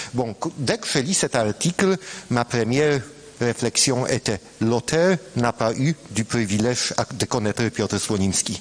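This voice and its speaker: Speaking at a very slow pace with a non-native accent, a man uses a medium pitch and ordinary pitch variation against noticeable background noise. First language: Polish (speaking French). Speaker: scientist, former student. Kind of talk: colloquium talk. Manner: halting, hesitant.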